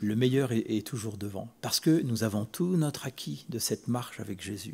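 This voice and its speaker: A man's somewhat breathy, dark and mellow voice at a medium pitch, with lively intonation and a moderate pace. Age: 60s. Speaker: preacher. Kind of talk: sermon. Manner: halting, with repetitions.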